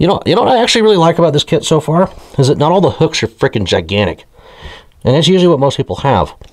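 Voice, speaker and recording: A man speaks over noticeable background noise. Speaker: fishing YouTuber. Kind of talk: product review. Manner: halting.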